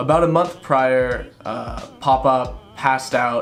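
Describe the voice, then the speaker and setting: Music is playing in the background. A man talks at a medium pitch. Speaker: vlogger. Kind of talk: personal vlog narration.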